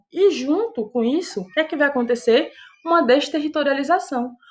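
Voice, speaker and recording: A woman's high voice carries lively intonation. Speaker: high school geography teacher. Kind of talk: lecture.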